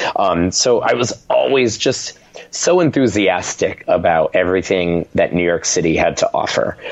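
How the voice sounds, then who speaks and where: Noticeable background noise sits behind a man's voice. He talks at a moderate pace with very even loudness. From Rhode Island. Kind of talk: casual interview.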